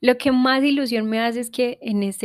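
A woman with an unremarkable speaking voice talks at a fairly slow pace with fairly even intonation. The sound is dry and close, with no echo. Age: 20s. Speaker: podcast host. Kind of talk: personal monologue.

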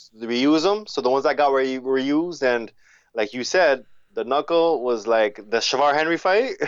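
A man speaks with a French accent. His pitch varies in an ordinary way. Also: fairly high pitch for a man, moderate pace. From Montreal and Africa (Ivory Coast). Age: 40s. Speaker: professional boxer. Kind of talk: casual chat.

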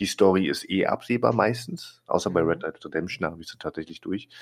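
A fairly low-pitched man with an ordinary speaking voice and lively intonation. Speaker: podcast co-host. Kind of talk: casual chat. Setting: remote recording over the internet.

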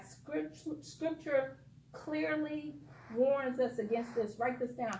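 A woman with an American accent speaks at a high pitch with lively intonation. Noticeable background noise and audible room echo surround her voice. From Detroit, US Midwest. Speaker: guest preacher. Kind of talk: sermon.

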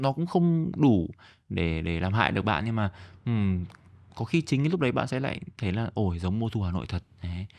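A man with a Northern Vietnamese accent, fairly low pitch, very wide pitch swings, a fairly quick pace and long, frequent pauses. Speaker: podcast host and comedian. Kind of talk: casual solo comedic monologue. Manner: fast toward the end of the episode.

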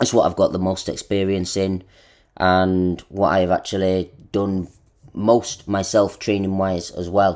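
With a very deep, low pitch, a man speaks fairly slowly in a monotone, flat intonation. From northern England, Manchester. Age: 30s. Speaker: fitness coach, podcast host. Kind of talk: solo podcast monologue. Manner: casual, conversational.

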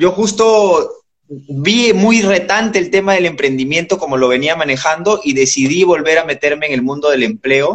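Lively intonation at a moderate pace. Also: man, high pitch for a man. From Peru. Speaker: entrepreneur. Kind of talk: casual interview. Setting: Instagram live.

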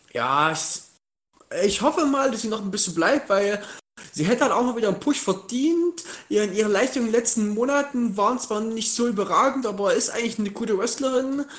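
This man's voice sits extremely high and has a lively intonation. He talks at a fairly quick pace. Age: 20s. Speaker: podcast guest, wrestling fan. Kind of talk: casual chat. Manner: halting.

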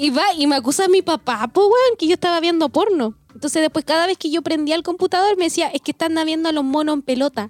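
A woman with a Chilean accent talks at a very fast pace, barely pausing, her pitch extremely high. Her intonation is lively, and the sound is dry and close with no echo. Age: 20s. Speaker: podcast co-host. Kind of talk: casual chat.

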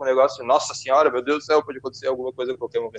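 With fairly even intonation, a man speaks against noticeable background noise. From southern Brazil, Porto Alegre. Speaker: podcast host. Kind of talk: casual chat.

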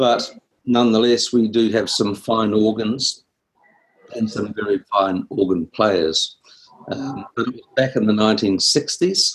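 With a New Zealand accent, a man talks very slowly at medium pitch with ordinary pitch variation. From New Zealand, Wellington. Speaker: composer and music teacher. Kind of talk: interview. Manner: halting.

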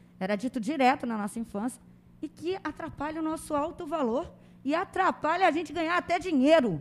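At a fairly quick pace, a woman with a high pitch sounds animated, her intonation lively. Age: 50s. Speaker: teacher and life coach. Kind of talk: interview conversation. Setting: studio.

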